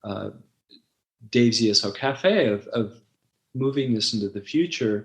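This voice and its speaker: At a moderate pace and a medium pitch, a man talks with ordinary pitch variation and long, frequent pauses. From US West Coast, Los Angeles. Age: 60s. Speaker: website founder and former ESL teacher. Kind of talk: interview. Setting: podcast interview. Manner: halting, many fillers.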